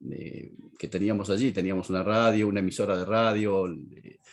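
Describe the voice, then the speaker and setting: Recorded very cleanly against a silent background, a man speaks at a fairly low pitch. He goes at a fairly slow pace with ordinary pitch variation. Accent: Argentine. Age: 60s. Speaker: pastor and teacher. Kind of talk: lecture.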